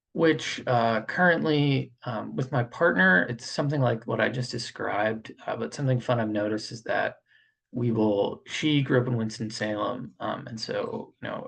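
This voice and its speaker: With an American accent and some vocal fry, a man talks at a moderate pace in a medium pitch, with ordinary pitch variation and hardly any pauses. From Pennsylvania, Poconos and Philadelphia. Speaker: student. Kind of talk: reflective monologue. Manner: mumbling, uneven volume.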